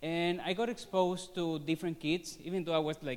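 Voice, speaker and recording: A man talks at a moderate pace. He has a Spanish accent. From Venezuela. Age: 30s. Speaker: student. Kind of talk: personal testimony presentation. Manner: halting, many fillers.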